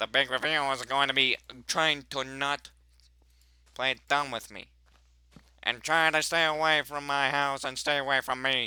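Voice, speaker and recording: In a very clean recording with a silent background, a man does a put-on character voice that is nasal and fairly high-pitched. His tone is grumpy, at a moderate pace with long, frequent pauses. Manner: grumpy, sour.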